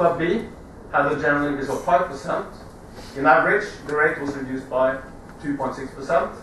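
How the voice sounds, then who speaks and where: Spoken at a moderate pace with fairly even intonation, the clip has light background noise and audible room echo. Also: man. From Norway. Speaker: marine insurance executive. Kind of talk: conference debate presentation. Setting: conference stage with audience. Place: hall. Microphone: camera far.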